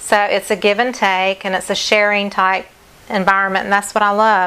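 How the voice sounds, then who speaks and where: A woman with a Southern US accent speaks at a medium pitch in a bright, sharp tone. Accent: southern twang. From North Carolina, US South. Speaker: acrylic fluid artist. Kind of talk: live stream art demonstration. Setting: live stream at home.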